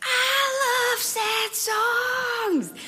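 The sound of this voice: Someone does a loud, squeaky put-on character voice.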